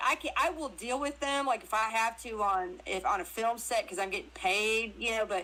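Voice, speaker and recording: A woman with a Southern US accent talks fairly quickly at a fairly high pitch, her tone animated and her intonation lively. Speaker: actress and crypto interview guest. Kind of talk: casual chat. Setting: live audio stream on social media.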